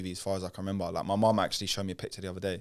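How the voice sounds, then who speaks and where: The recording is very clean with a silent background. A man with a fairly low pitch speaks with a British accent. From North London, England. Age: 20s. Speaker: singer. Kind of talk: casual chat.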